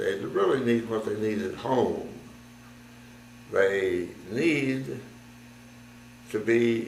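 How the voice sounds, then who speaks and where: Amid noticeable background noise and audible room echo, a man with an American accent speaks at a medium pitch. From United States. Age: 80s+. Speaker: war veteran. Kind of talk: testimony.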